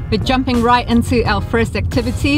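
A woman is speaking, and clear music plays in the background. The sound is dry, with no echo. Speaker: travel vlogger. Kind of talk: casual vlog chat. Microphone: phone near.

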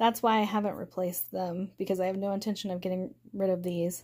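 A woman with an American accent talks at a moderate pace and medium pitch, her dark, mellow tone delivered in a monotone, flat intonation. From Oklahoma, US (Tulsa); Oklahoma. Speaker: book youtuber. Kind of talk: casual home video tour. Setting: at home. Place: home room. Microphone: phone near.

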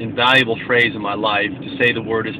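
Over noticeable background noise, a man talks at a fairly quick pace. His intonation is fairly even and the sound is dry with no echo. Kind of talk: casual vlog chat. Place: car. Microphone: phone near.

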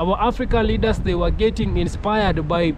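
Light background noise sits under a dry sound with no echo. A man speaks at a moderate pace. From Kenya. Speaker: YouTuber; vlogger. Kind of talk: video commentary. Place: open country. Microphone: phone near.

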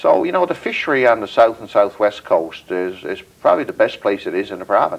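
A man with a Newfoundland accent at a fairly quick pace, with big swings in loudness and hardly any pauses. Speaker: federal politician. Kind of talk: interview. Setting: studio. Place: home room.

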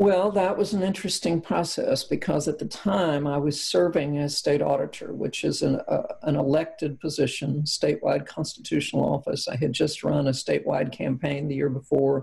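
A woman in a Kentucky accent, moderate pace, with hardly any pauses. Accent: Kentucky Southern US. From central Kentucky. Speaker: former politician, cancer survivor. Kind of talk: interview testimony. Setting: remote from her farmhouse. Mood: calm, reflective. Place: home room. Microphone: video call.

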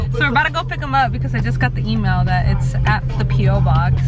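A woman's voice, dry with no echo, over loud background music. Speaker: vlogger. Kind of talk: casual vlog chat. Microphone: phone near.

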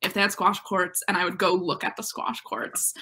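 Bright and sharp in tone, a woman talks at a moderate pace with an American accent. The background is quiet. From Western Massachusetts, Northampton; Western Massachusetts. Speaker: college student athlete; interviewee. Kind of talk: interview. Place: home room.

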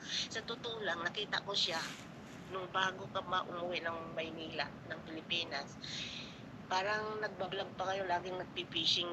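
A woman with fairly even intonation and big swings in loudness, over noticeable background noise. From Visayas, Philippines. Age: old. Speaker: caller, viewer. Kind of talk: casual chat.

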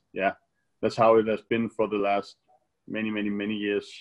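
With a Danish accent, the speaker is heard over a quiet background. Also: man. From Denmark. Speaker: professional badminton player; interviewee. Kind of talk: casual interview. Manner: hesitant, many fillers. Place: home room. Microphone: video call.

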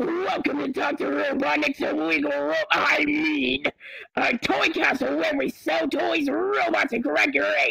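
Extremely high pitch, a fairly slow pace, a male speaker doing a put-on character voice. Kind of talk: parody TV commercial. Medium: game stream. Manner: cheerful, shifty.

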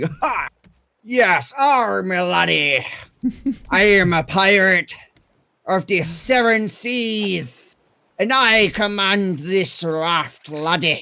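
Putting on a character voice, a man speaks at a high pitch and a very slow pace, with long, frequent pauses. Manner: boastful.

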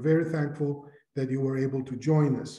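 A man's dark, mellow, somewhat breathy voice in a monotone, flat delivery at a moderate pace, with audible room echo and a quiet background. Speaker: conference host. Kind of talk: formal welcome speech. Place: office. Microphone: webcam.

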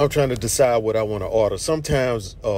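A man talks at a very fast pace with ordinary pitch variation. The sound is dry with no echo, over light background noise. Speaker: food vlogger. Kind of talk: casual vlog chat. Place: cafe. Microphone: phone near.

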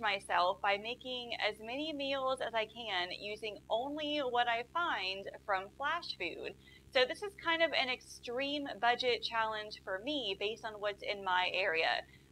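Over light background noise, a woman talks at a fairly slow pace. Her pitch is high. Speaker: budget cooking vlogger. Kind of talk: casual vlog chat. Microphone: lapel.

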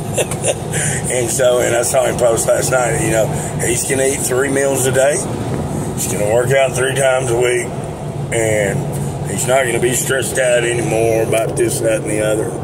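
A man talks at a moderate pace. Loud noise fills the background. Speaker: vlogger. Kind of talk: casual vlog chat. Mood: relaxed, friendly, laughing. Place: car. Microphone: phone near.

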